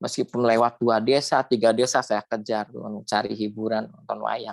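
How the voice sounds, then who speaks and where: This man speaks at a moderate pace and medium pitch. The sound is dry and close, with no echo. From West Java, Indramayu and Cirebon area. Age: 50s. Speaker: alumnus sharing life story. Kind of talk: interview testimony.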